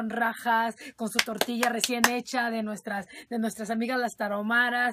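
A woman with a northern Mexican accent speaks at a high pitch in a monotone, flat intonation. Her pace is moderate, and there is noticeable background noise. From Chihuahua, Mexico. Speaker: radio host. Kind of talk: casual talk to listeners. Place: studio.

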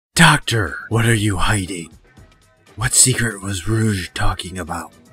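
Faint music plays behind a put-on character voice speaking at a moderate pace. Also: man, fairly low pitch for a man. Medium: dub.

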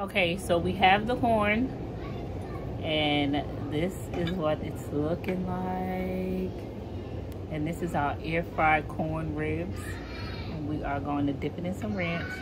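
Against crowd noise in the background, a woman speaks at a very slow pace with long, frequent pauses. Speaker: vlogger. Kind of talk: casual vlog chat.

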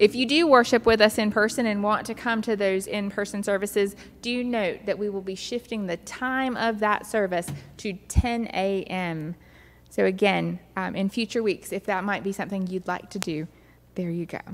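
Music plays behind a woman whose pitch varies in an ordinary way. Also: moderate pace. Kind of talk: church announcements. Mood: warm, welcoming. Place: church.

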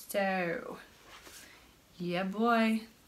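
A woman speaks with a British accent at a medium pitch. Her pitch varies in an ordinary way. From United Kingdom. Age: 20s. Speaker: crafting vlogger. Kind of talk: casual vlog talk. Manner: halting.

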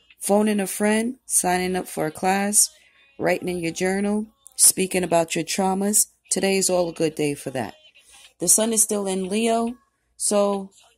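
A woman's fairly even intonation over music in the background. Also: moderate pace. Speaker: tarot reader. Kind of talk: casual vlog chat. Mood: calm, relaxed.

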